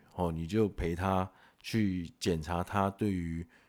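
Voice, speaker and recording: This man speaks with a Taiwanese accent. His pitch is very deep and low, and his tone dark and mellow. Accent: Taiwanese Mandarin. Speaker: podcast host. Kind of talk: casual monologue. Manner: animated; filler-heavy.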